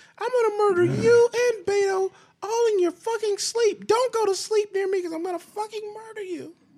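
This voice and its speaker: A woman uses a put-on, squeaky character voice at an extremely high pitch. She talks at a fairly quick pace with fairly even intonation. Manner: angry, ranting.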